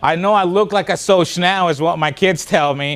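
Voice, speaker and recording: An animated man with a Spanish accent at a moderate pace. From Spanish-speaking country, moved to US as a child. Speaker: motivational speaker. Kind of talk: keynote speech.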